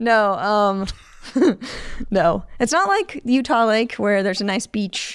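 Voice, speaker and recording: With an American accent, a woman speaks at a very slow pace and a medium pitch, using ordinary pitch variation and long, frequent pauses. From US Midwest, Chicago suburbs (Illinois). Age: 30s. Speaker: HVAC technician. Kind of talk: podcast interview. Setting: podcast studio.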